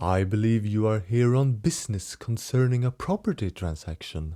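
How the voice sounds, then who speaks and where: A man puts on a gravelly character voice at medium pitch, with lively intonation and a moderate pace. The sound is dry and close with no echo, on a very clean recording with a silent background. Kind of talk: archaic courtly speech. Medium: read story. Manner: slow, careful, deliberate.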